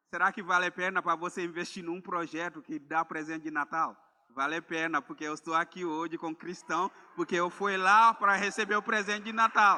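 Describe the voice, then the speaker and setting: A man speaks with a high voice that sounds bright and sharp, with ordinary pitch variation in a dry, close recording that has no echo. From Gambia. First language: Mandinka or another Gambian language (speaking Portuguese). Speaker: missionary preacher. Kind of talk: sermon. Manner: halting, with repeated words.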